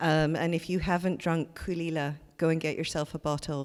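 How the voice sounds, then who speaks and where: A woman with a Scottish accent talks at a moderate pace in a very deep, low voice with monotone, flat intonation. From Scotland, Glasgow. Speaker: art museum curator. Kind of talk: onstage conversation.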